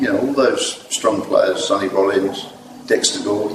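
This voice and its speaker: A man talks in a room with audible echo and noticeable background noise. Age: 60s. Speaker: jazz saxophone player. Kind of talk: interview. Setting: venue before a gig.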